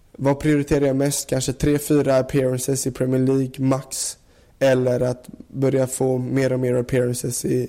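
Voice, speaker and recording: Speaking with monotone, flat intonation, a man has a dark, mellow tone. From Sweden, Gothenburg area. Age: 20s. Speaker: professional footballer. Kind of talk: interview.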